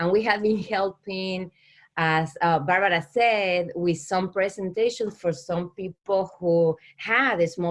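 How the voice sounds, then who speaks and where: Against a quiet background, a woman with an Argentine accent speaks at a fairly slow pace in a fairly low voice with fairly even intonation. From Argentina. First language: Spanish. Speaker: small business owner. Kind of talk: business pitch. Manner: halting.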